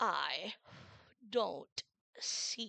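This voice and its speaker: A female-sounding voice performs a put-on character voice. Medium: read story. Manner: languid, curt, stern.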